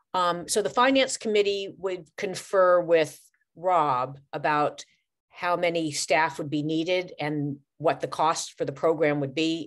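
A plain, everyday voice with ordinary pitch variation comes through against a quiet background. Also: woman. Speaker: committee member. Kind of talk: public meeting. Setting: video call. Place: home room. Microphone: video call.

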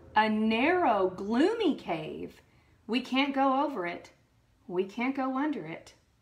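A woman's animated, dramatic tone with very wide pitch swings. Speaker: librarian. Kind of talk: children's story time and craft tutorial, with the bear hunt story read aloud at the end; bedtime-style storytelling of a bear hunt story, acted out with sound effects. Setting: online video from a library. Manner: warm, friendly and encouraging, chatty with viewers; animated, dramatic and playful in the story, with gasps and sound effects. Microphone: phone near.

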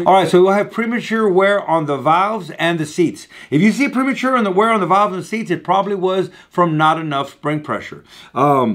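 A man talks fairly quickly, with little else to be heard behind him. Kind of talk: tutorial. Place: workshop.

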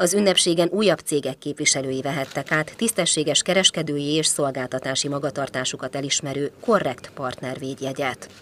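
A moderate pace with hardly any pauses, in a very clean recording with a silent background. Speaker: news reporter. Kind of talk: news reading.

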